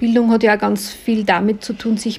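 The voice moves at a moderate pace. Its intonation is monotone and flat, with noticeable background noise. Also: woman. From Austria, Linz. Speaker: podcast host. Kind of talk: interview. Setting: restaurant by a lake.

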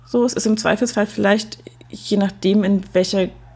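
This woman's medium-pitched voice is somewhat breathy, with a dark, mellow tone. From East Germany. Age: 30s. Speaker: podcaster. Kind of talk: casual chat.

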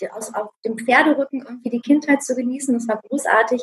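A woman with a high voice speaks with fairly even intonation. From Hanover, northern Germany. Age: 40s. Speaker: emotional healing coach. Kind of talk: interview. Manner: halting, many fillers.

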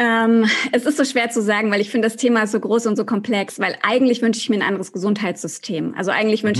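Against a quiet background, a woman speaks at a very fast pace with fairly even intonation. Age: 30s. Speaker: journalist and podcaster. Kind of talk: interview.

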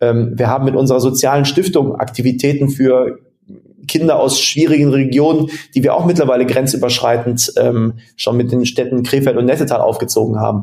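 A man talks at a fairly quick pace with an unremarkable speaking voice and medium pitch. His loudness stays very even and his intonation fairly even. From western Germany, near Mönchengladbach. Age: 30s. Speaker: sports management agency founder. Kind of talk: interview.

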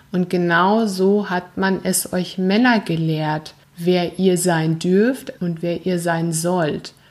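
Amid noticeable background noise, a woman with a fairly low pitch talks at a very slow pace with hardly any pauses and fairly even intonation. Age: 40s. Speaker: life coach and podcast host. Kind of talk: solo podcast monologue, motivational. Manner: earnest, emphatic.

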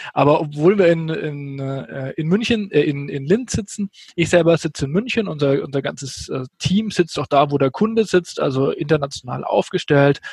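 With hardly any pauses, a man talks at a moderate pace in a fairly high pitch, his intonation lively and the sound dry and close with no echo. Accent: Franconian. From Franconia, Germany. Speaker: software company sales executive. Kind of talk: podcast interview.

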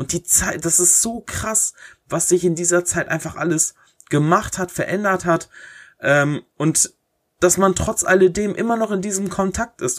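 A high-pitched male voice at a fairly slow pace with ordinary pitch variation, dry and close with no echo, on a very clean recording with a silent background. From Germany, Herford, East Westphalia-Lippe. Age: 20s. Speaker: podcaster and YouTuber. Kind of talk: solo Q&A podcast, casual. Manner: casual, many filler hesitations.

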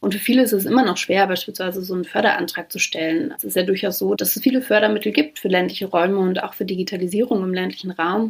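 A woman at a medium pitch speaks very fast with hardly any pauses, her loudness swinging widely over noticeable background noise. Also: ordinary pitch variation. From Brandenburg, Germany. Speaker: founder and director of a think tank. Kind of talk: interview.

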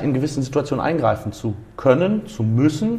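There is noticeable background noise as a man talks at a moderate pace with a fairly high pitch. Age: 20s. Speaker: driving school owner. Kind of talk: interview. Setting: driving school exam room.

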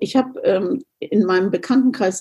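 Somewhat breathy and dark, mellow in tone, a woman speaks at a fairly slow pace with ordinary pitch variation. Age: 60s. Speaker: riding instructor. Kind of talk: interview.

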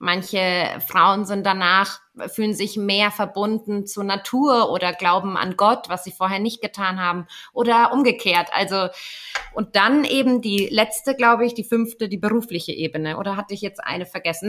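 A woman with a medium pitch and ordinary pitch variation talks at a moderate pace, with noticeable background noise behind her. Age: 30s. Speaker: doula. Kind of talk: casual chat. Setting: video call.

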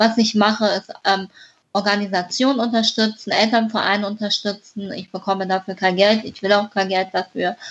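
A woman talks with a medium pitch. Her intonation is monotone and flat. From northern Hesse, Germany (near Kassel). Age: 20s. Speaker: author with a congenital heart defect. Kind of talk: interview.

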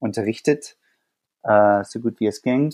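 A man with an American accent speaks at a medium pitch with ordinary pitch variation, the sound dry and close with no echo. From USA. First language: English (speaking German). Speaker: teacher. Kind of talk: interview. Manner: hesitant, many fillers.

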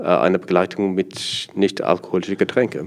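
A fairly low pitch in a man's voice. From South Africa. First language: Afrikaans (speaking German). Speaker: sommelier and student. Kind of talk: interview. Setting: association annual meeting venue. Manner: halting.

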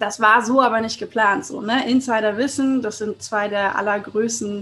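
A woman's fairly high-pitched voice with fairly even intonation. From Hamburg, northern Germany. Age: 30s. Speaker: podcast host, networking expert. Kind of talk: solo podcast monologue. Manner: casual, colloquial.

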